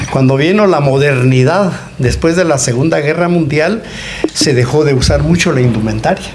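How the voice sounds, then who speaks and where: Noticeable background noise and audible room echo accompany a fairly slow delivery with ordinary pitch variation. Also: man. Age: 80s+. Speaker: anthropologist. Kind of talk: interview.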